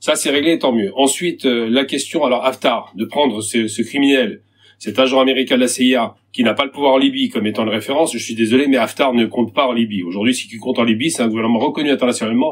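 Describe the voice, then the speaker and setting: Barely pausing, a man rushes along at a very fast pace. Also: medium pitch for a man, fairly even intonation. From Algeria. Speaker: activist debater. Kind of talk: heated debate. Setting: video call.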